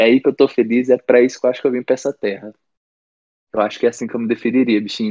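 A man talks at a very fast pace in a dark, mellow tone at a medium pitch. His intonation is monotone and flat, and the sound is dry and close with no echo. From Brasília, Brazil. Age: 20s. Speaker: band vocalist and songwriter. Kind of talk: casual interview chat.

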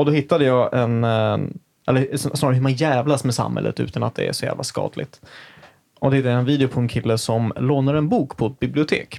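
This man has an ordinary speaking voice, pitched in the medium range, with fairly even intonation and a fairly quick pace. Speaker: podcast host. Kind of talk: casual chat.

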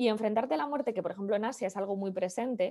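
Speaking at a very fast pace with a northern Spanish accent, a woman has a dark, mellow tone, fairly high pitch and lively intonation. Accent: northern peninsular Spanish (Castilian). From Spain, Valladolid (Castile). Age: 30s. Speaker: digital business consultant. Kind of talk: interview conversation.

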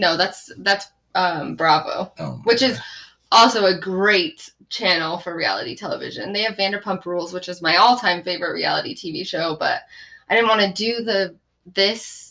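Talking at a moderate pace with ordinary pitch variation and medium pitch, a woman has an ordinary speaking voice. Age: 20s. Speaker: podcast co-host. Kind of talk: casual chat.

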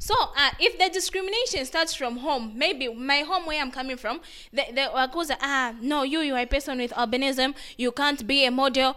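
At a moderate pace, the speaker uses a raised, projected voice with a bright, sharp tone and ordinary pitch variation. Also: woman, high pitch for a woman. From Zambia. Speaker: advocate for people with albinism. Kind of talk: interview.

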